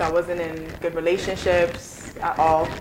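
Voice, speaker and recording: In an American accent, a woman talks in a fairly low pitch at a moderate pace with monotone, flat intonation amid noticeable background noise. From Guyana, then New York from age 9. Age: 20s. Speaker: academic advisor. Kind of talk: casual interview chat. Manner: calm, gentle.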